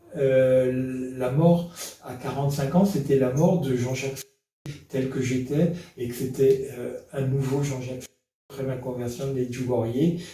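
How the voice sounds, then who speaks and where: In a room with audible echo, a man talks at a fairly slow pace in a fairly high voice with fairly even intonation. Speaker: retired firefighter giving faith testimony. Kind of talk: testimony. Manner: hesitant, many fillers.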